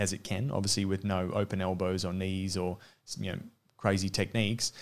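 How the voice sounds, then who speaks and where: With an Australian accent, a man speaks at a fairly low pitch and a fairly quick pace. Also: very clean recording, silent background. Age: 30s. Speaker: former mixed martial arts fighter and coach. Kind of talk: casual interview.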